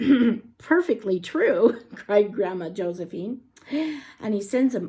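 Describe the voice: The intonation is lively. It is plain reading aloud.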